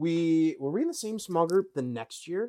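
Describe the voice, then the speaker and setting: A man talks with an Upper Midwest accent and lively intonation. The sound is dry and close, with no echo. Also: very clean recording, silent background. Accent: Upper Midwest American. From Wisconsin. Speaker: former youth pastor now in sales. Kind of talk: casual conversation, personal testimony.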